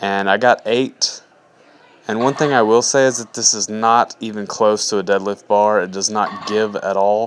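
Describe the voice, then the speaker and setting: Here a man speaks in a normal speaking voice at a moderate pace. His pitch is fairly low and his intonation fairly even. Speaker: fitness vlogger and personal trainer. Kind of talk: video voiceover narration. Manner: casual.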